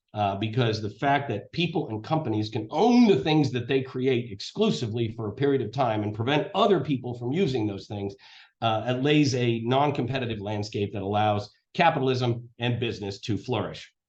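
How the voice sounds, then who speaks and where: The voice has an American accent and a fairly quick pace. It sounds somewhat breathy. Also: man. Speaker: lawyer. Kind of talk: lecture. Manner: fast.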